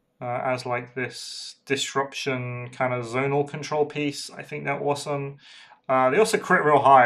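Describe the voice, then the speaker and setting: A quiet man talks at a moderate pace and medium pitch. His pitch varies in an ordinary way. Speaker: hobby streamer painting miniatures. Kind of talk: casual livestream chat while painting. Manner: quiet while concentrating.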